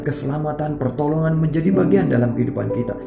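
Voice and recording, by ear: A man speaks over noticeable background noise.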